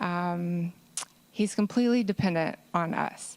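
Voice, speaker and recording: With an American accent, a woman of medium pitch talks at a fairly slow pace in an unremarkable speaking voice, on a very clean recording with a silent background. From US South, Georgia. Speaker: parent advocate, conference panelist. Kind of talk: conference panel talk.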